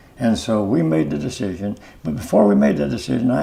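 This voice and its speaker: This man's dark, mellow tone carries vocal fry and very wide pitch swings. He speaks at a very fast pace. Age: 80s+. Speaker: customer giving testimonial. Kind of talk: testimonial interview. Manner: halting, many fillers and repetitions.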